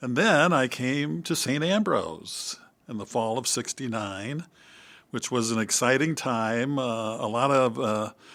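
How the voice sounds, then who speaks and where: This man has a Midwestern American accent and a medium pitch. He talks at a fairly slow pace. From US Midwest, Iowa (West Burlington). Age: 70s. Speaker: priest. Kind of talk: interview conversation. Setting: studio.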